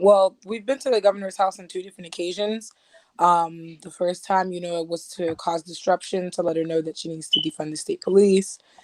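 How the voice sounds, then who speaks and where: A woman speaks at a fairly quick pace in a plain, everyday voice, with ordinary pitch variation and big swings in loudness. The sound is dry and close, with no echo. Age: 20s. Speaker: activist. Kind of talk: interview answers.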